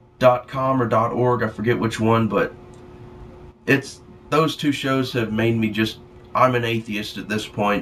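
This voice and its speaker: Speaking in a Southern US accent at a fairly slow pace, the voice keeps a fairly even intonation and leaves long, frequent pauses. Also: man, medium pitch for a man. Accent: sounds country (rural Southern US). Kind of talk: casual talk to camera, rant. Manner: rambling, profane.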